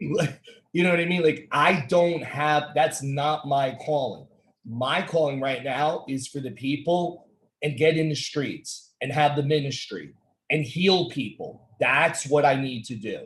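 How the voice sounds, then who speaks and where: With an energetic, passionate tone, a somewhat breathy man speaks at a fairly high pitch. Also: ordinary pitch variation, fairly slow pace. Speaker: podcast host, speaker and activist. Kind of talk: casual talk podcast conversation.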